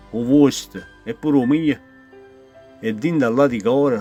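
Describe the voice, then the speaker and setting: A man with a Neapolitan accent talks at a moderate pace and medium pitch with ordinary pitch variation, big swings in loudness and long, frequent pauses while music plays in the background. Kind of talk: poetry reading.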